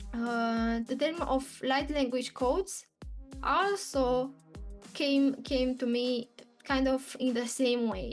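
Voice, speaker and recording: A woman's high-pitched voice with a non-native accent, music playing in the background. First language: not English. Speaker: spiritual channeler. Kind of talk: casual talk to camera. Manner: hesitant, with pauses.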